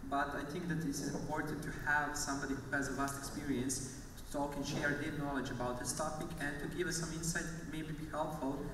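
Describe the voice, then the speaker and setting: Noticeable background noise and audible room echo are present. A man speaks in a flat, monotone voice. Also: fairly quick pace. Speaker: panel moderator. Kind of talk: moderator introduction. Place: stage.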